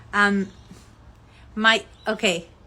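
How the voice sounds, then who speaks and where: A woman speaks at a fairly high pitch with a Colombian accent. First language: Spanish. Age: 30s. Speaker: fashion label founder. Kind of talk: live stream chat with followers. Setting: Instagram live, outdoors in sun. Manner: hesitant, many fillers.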